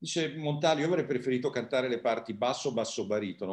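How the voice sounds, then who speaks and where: With medium pitch and some vocal fry, a man talks against a quiet background. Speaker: musicologist lecturer. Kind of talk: lecture. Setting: video call. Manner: calm. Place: home room. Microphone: video call.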